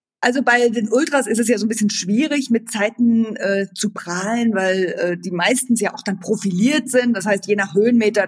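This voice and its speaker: Over noticeable background noise, a woman speaks at a fairly quick pace and a fairly high pitch, with ordinary pitch variation and hardly any pauses. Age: 40s. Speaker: running coach. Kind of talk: casual chat.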